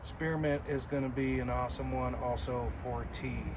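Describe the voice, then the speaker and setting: Noticeable background noise and audible echo from the room fill the clip. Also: man. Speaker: gardening vlogger. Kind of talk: casual garden tour video. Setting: outdoors in garden. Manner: casual with filler words.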